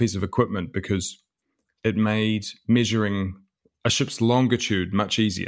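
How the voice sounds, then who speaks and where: A man with a New Zealand accent, fairly low in pitch, at a moderate pace, in a very clean recording with a silent background. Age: 30s. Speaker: author and historian. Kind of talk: interview. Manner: halting, frequent repetitions.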